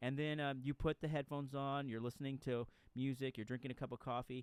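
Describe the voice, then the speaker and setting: A man with a Texan accent talks fairly quickly at a medium pitch. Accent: Texan American. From Texas. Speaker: podcast host, author. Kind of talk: casual interview chat. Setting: late-night home recording. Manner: halting.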